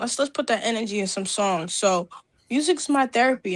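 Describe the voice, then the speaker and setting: Speaking at a moderate pace, a woman has a plain, everyday voice with a fairly high pitch and ordinary pitch variation. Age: 20s. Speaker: rapper and singer. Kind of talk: interview.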